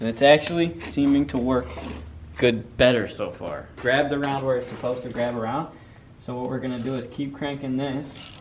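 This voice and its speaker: At a moderate pace, a man speaks at a medium pitch amid noticeable background noise and audible room echo. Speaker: car enthusiast YouTuber. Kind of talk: casual garage vlog. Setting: garage shop. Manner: animated.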